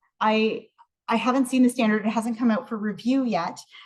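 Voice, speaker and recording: In a Canadian accent, a woman speaks at a fairly high pitch. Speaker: research scientist and professor. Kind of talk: research presentation. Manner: fast.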